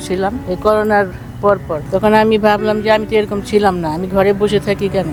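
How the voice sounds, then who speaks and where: A woman with a medium-pitched voice talks over noticeable background noise. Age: 70s. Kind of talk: street interview answer. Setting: outdoors.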